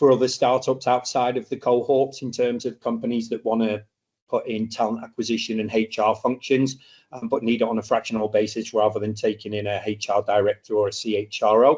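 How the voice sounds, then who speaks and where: A man talks at a fairly quick pace with a medium pitch. His intonation stays monotone and flat. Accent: British. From UK. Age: 40s. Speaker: startup mentor and speaker. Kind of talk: masterclass lecture. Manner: casual, with frequent fillers.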